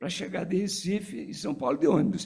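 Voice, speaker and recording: His pitch rises and falls over a very wide range. The man's voice sits high. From Pernambuco, Brazilian Northeast. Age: 80s+. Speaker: physician and former political activist. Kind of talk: tribute speech. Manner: halting.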